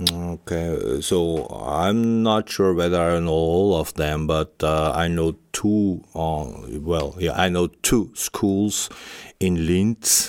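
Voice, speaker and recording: A man with a German accent speaks at a very slow pace in a very deep, low voice. The recording is very clean, with a silent background. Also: ordinary pitch variation. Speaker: head of school department. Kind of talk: interview. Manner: halting, many fillers.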